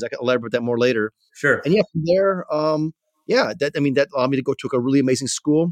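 With an American accent, a man talks at a very fast pace in a dry, close sound with no echo. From Chicago, US Midwest. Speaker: tech investor and entrepreneur. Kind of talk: casual interview.

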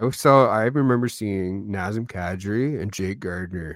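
A man's plain, everyday voice, fairly low in pitch, with ordinary pitch variation. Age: 30s. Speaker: podcast co-host, dad. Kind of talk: casual chat.

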